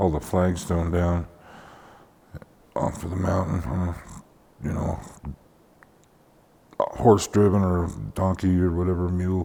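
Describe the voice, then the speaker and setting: A man with a very deep, low voice in a monotone, flat delivery, long, frequent pauses, and noticeable background noise. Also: moderate pace. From Colorado (Thornton). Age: 60s. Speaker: interviewee, family member. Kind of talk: oral history interview.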